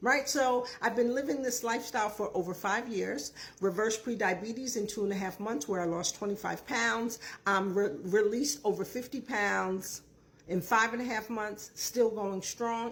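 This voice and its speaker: A woman's fairly high pitch with ordinary variation at a moderate pace, an ordinary speaking voice. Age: 60s. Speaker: diet and lifestyle coach. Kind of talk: casual talk-to-camera advice video. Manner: conversational with frequent fillers.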